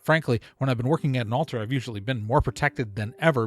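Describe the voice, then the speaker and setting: A somewhat breathy, animated voice with lively intonation at a very fast pace, in a dry, close sound with no echo, on a very clean recording with a silent background. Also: man. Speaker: podcast host. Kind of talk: casual monologue.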